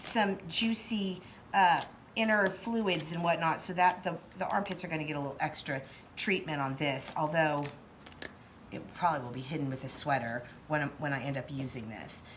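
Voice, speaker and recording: Audible room echo surrounds a voice with lively intonation. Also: woman, very deep, low pitch for a woman, moderate pace. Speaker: special effects makeup artist and costumer. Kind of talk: tutorial. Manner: casual, many filler words.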